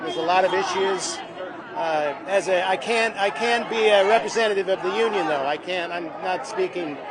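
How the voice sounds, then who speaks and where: A man talks in a high voice with ordinary pitch variation. Crowd noise and audible room echo fill the background. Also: moderate pace. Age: 60s. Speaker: actor. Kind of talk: street interview. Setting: outdoors at picket line.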